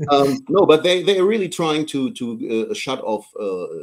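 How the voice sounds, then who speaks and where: This man has a German accent. He speaks at a very slow pace. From Germany. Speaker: politician. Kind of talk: interview. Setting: live stream. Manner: halting.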